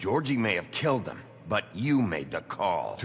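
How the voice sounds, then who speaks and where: A man puts on a growling character voice with a fairly low pitch. He speaks at a moderate pace over clear background noise. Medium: video game. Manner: terse, gruff.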